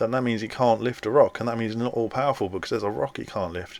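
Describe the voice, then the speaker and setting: This man speaks at a medium pitch. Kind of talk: solo video lecture. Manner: halting.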